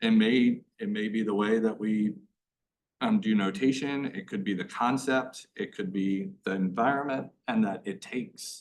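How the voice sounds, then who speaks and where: At a moderate speed, a man's medium-pitched voice carries his words. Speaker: school board member. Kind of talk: public meeting discussion. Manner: monotone.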